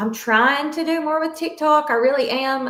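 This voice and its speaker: A woman speaks with a Southern US accent at a moderate pace. Her tone is bright and sharp. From US South. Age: 40s. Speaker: fitness coach. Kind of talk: podcast interview.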